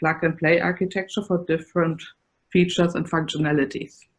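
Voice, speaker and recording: A woman speaks with a German accent. Her intonation is fairly even. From Germany. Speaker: computer science professor. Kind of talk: conference presentation.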